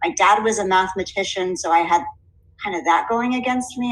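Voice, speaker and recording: With an American accent, a woman talks using ordinary pitch variation. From Southwest Connecticut, US Northeast. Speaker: teacher. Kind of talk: recorded presentation. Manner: clear diction.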